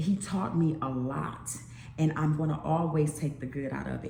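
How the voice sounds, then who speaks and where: In a room with audible echo, a woman speaks in an animated tone at a very deep, low pitch. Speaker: YouTube vlogger. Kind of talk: casual monologue vlog.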